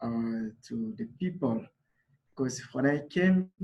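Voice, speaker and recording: A man with a Congolese accent. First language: Lingala. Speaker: refugee volunteer. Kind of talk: personal testimony at a summit. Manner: halting, many fillers.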